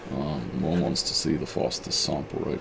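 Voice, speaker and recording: Speaking at a very deep, low pitch, a man keeps a moderate pace and ordinary pitch variation over noticeable background noise. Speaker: presenter. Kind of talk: tutorial. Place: workshop.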